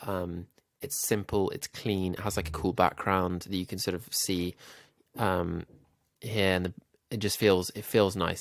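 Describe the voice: A man speaks with a nasal voice at a fairly low pitch. His pitch moves very little.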